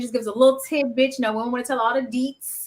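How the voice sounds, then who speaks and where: This woman has a high-pitched voice. She speaks with an American accent. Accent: Southern drawl, masked unless comfortable. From US South. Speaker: podcast host. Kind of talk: casual chat. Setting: live stream.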